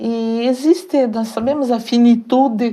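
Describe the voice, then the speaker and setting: A woman is speaking. Her pace is very slow. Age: 70s. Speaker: author and volunteer. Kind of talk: interview.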